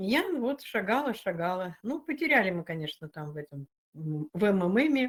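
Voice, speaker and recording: Her pitch swinging very widely, a woman speaks on a very clean recording with a silent background. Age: 70s. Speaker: retiree, online community member. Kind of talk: interview testimony.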